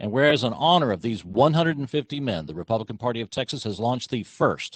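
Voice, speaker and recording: A man with an ordinary speaking voice talks at a fairly quick pace, his medium pitch carried by lively intonation. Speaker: county commissioner. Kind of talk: public meeting remarks; reading aloud a resolution. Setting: county commissioners court meeting.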